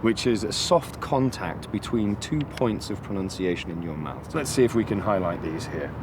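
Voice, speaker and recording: A man with very wide pitch swings at a fairly quick pace, amid noticeable background noise. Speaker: accent coach presenter. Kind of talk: educational presentation to camera.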